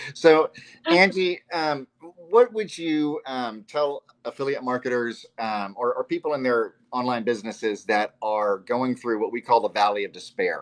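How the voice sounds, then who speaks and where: At a moderate pace, a man with an ordinary speaking voice and medium pitch speaks with lively intonation in a dry, close sound with no echo. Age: 50s. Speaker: podcast host. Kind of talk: interview.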